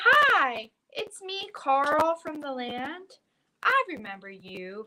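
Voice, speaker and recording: A woman's put-on character voice, high-pitched and very slow, with very wide pitch swings. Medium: read story. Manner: chatty, loud.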